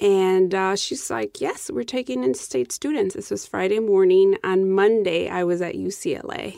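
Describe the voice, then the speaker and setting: With an American accent, a woman talks at a moderate pace with hardly any pauses. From Mexico, then Chicago from about age ten. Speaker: activist organizer. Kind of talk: interview.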